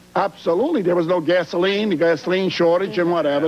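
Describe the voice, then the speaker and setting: Speech comes at a very fast pace. Noticeable background noise sits behind it. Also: man. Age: 70s. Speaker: retired auto worker. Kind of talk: talk show audience testimony. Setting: TV studio with audience. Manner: halting.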